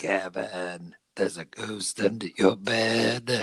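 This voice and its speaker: Someone uses a put-on character voice and delivers the lines at a fairly slow pace. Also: woman, very deep, low pitch for a woman. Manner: eerie, spooky.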